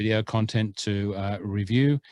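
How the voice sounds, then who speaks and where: Dry and close with no echo, a man speaks with an Australian accent. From Australia (born Scotland). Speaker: podcast co-host. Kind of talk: casual chat. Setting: remote call.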